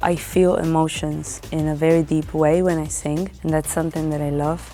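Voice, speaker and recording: A woman talks at a moderate pace in a very deep, low voice. Her intonation is monotone and flat, with music playing behind her. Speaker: singer. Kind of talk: interview answer.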